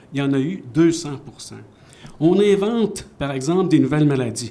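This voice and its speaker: In a room with audible echo, a man speaks at a moderate pace with a fairly high pitch and very wide pitch swings. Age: 70s. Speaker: author. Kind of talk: panel discussion. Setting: stage with audience.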